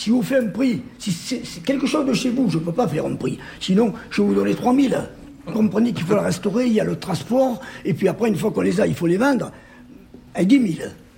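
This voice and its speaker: A man's high-pitched, fairly quick voice with lively intonation and long, frequent pauses. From Corsica. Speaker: horse-drawn carriage dealer, former supermarket owner. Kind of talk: casual interview.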